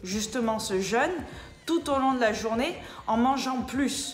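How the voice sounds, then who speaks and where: The voice is loud with an animated tone. Noticeable background noise and audible room echo surround it. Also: woman. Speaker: personal trainer. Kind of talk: casual explainer vlog. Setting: indoors.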